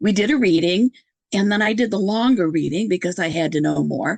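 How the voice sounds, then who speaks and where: A woman talks at a fairly quick pace with lively intonation. Her medium-pitched voice carries vocal fry. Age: 70s. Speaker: podcast host appearing as guest. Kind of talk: casual interview conversation.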